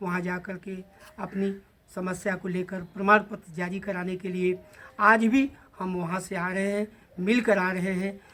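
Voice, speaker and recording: This man's voice is high in pitch and delivered in a monotone, flat intonation. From eastern Uttar Pradesh, Kushinagar. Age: 70s. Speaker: community activist. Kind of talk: interview statement to a news channel. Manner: halting, with fillers.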